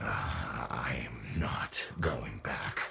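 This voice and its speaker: A man puts on a growling character voice with a very deep, low pitch, over light background noise. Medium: video game. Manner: sardonic, gruff.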